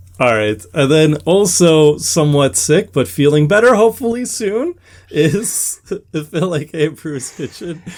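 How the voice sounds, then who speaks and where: Speaking at a fairly slow pace, a man has a fairly high pitch. His pitch swings very widely. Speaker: podcast host. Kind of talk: casual chat.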